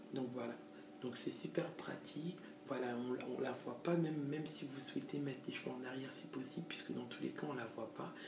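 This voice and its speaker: At a moderate pace, a woman is speaking. Audible room echo and noticeable background noise come through. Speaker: hair extension seller and stylist. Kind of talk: tutorial. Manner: hesitant, many fillers.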